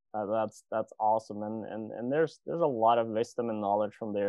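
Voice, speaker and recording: At a fairly quick pace, a man talks in a fairly low pitch with a plain, everyday voice. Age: 20s. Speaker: podcast host. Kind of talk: interview. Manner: casual, many fillers like and you know.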